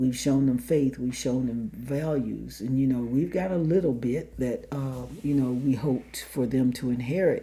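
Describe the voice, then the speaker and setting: A woman speaks with a very deep, low pitch and a dark, mellow tone. Her pitch varies in an ordinary way. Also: moderate pace, hardly any pauses. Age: 60s. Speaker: marriage podcast co-host. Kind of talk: casual chat.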